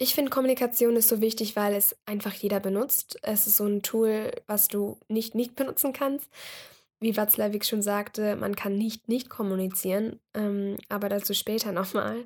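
A woman with an ordinary speaking voice, fairly high pitch, fairly even intonation and a moderate pace. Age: 20s. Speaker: podcast host, university student. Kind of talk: solo podcast introduction. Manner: casual with frequent fillers.

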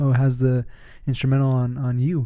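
A man's voice with a dark, mellow tone at a medium pitch. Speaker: podcast host. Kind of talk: casual interview. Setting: in-person studio with mics.

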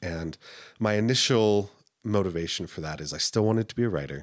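A man with an American accent speaks in an unremarkable speaking voice at a fairly low pitch and fairly quick pace, with lively intonation, on a very clean recording with a silent background. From US, military family, raised mostly in Utah. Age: 30s. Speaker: singer and game master. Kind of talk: casual interview.

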